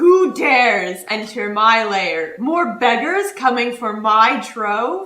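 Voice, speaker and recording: A woman doing a put-on character voice, pitched fairly high. She speaks at a very slow pace. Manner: hostile, imposing.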